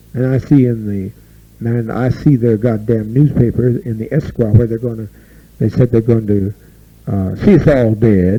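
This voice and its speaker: Dark, mellow tone from a man, somewhat breathy in quality. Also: medium pitch for a man, moderate pace. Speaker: cult leader. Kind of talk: speech to a community gathering. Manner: agitated, animated.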